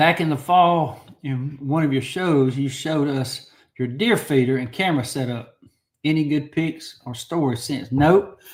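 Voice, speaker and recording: At a fairly slow pace, a man talks in a fairly high, somewhat breathy voice with ordinary pitch variation. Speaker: knife collector livestream host. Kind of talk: live stream chat reading viewer comments. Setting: livestream. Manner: casual, repetitive, halting.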